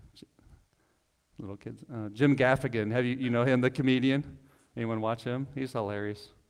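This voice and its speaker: A man with a medium pitch talks at a moderate pace with fairly even intonation. His loudness swings a lot, and he takes long, frequent pauses. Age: 40s. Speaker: pastor. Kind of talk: sermon. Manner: casual, conversational.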